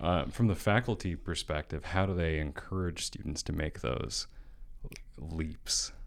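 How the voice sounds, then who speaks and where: On a very clean recording with a silent background, a man talks with vocal fry at a very deep, low pitch. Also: ordinary pitch variation, fairly slow pace. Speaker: podcast host. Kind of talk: interview, casual chat.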